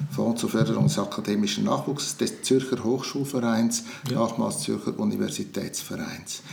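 Noticeable background noise and audible room echo accompany a man speaking at a moderate pace. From Switzerland, Zurich region. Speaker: retired publisher and politician. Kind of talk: interview. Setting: in person. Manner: halting.

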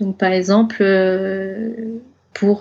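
A woman's flat, monotone delivery. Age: 30s. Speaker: zero-waste advocate and online shop owner. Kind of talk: casual interview.

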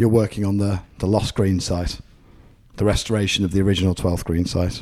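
This man has a fairly low pitch and a dark, mellow tone with an English accent. He talks at a fairly quick pace. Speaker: golf podcast host. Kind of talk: casual interview. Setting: golf club compound during tournament.

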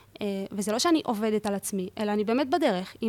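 With a plain, everyday voice, a woman speaks at a fairly quick pace and a fairly high pitch. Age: 20s. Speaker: university student. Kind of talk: casual interview.

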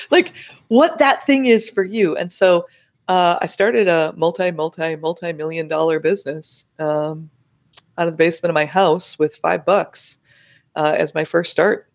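A woman speaks in an energetic tone at a fairly low pitch and moderate pace, with ordinary pitch variation. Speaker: money and business strategist. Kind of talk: interview. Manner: animated.

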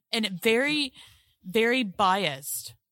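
The speaker has a Southern US accent and lively intonation. The recording is very clean, with a silent background. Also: woman. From Mississippi, US South. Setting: blanket fort, under a blanket.

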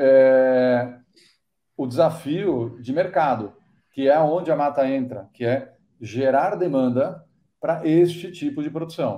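Delivery comes at a very slow pace. A dark, mellow tone colors the voice. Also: man. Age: 50s. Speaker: startup entrepreneur in cacao nutrition. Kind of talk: podcast interview.

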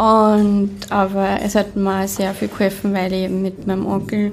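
Set against noticeable background noise and audible room echo, a woman speaks in a medium pitch with monotone, flat intonation. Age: 30s. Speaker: screen printing business owner and mental health educator. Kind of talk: interview. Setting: hotel conference room.

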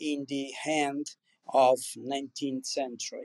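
A man speaks with an Italian accent, recorded dry and close with no echo. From Campania, southern Italy. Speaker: wine producer. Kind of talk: interview. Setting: online audio chat room.

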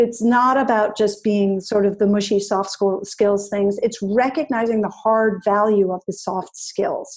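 With an American accent and a normal speaking voice, a woman talks at a fairly slow pace and medium pitch, her intonation fairly even and hardly any pauses, against a quiet background. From New England, US. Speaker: digital well-being and ethics advisor. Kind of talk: interview conversation.

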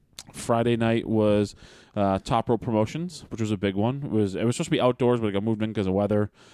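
Here a man talks at a very fast pace with fairly low pitch and a dark, mellow tone. His loudness stays very even, and his pitch varies in an ordinary way. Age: 30s. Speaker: independent pro wrestler and podcast co-host. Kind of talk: casual chat. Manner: loud and boisterous.

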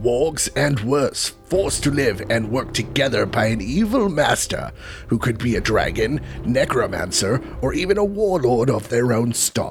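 A man performs a put-on character voice at a fairly slow pace. Music is clearly heard in the background. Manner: spooky.

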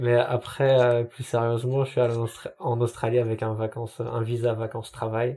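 Noticeable background noise sits under a man speaking with a monotone, flat intonation. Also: medium pitch for a man, moderate pace. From France, Paris area (Noisy-le-Grand). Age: 20s. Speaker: graphic designer. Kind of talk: casual interview. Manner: halting, many hesitations.

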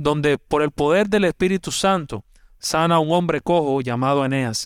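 A man with a normal speaking voice talks at a moderate pace, his pitch fairly high with ordinary variation, in a dry, close sound with no echo on a very clean recording with a silent background. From Cuba. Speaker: pastor. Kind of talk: sermon.

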